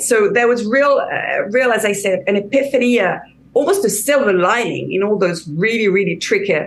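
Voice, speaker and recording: A woman with a slight French accent, fairly high in pitch with lively intonation, amid audible room echo. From France. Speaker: career coach. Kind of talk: interview. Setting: video call. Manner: halting, many repetitions.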